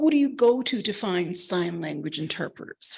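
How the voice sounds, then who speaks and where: A woman with an American accent and very wide pitch swings. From Boston, US. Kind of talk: conference presentation. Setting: conference room with audience. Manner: fast; animated.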